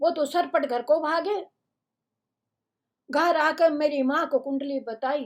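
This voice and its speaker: Her voice is high-pitched. This woman's pitch varies an ordinary amount. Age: 80s. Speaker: storyteller reading humorous pieces. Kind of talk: reading aloud a humorous first-person story.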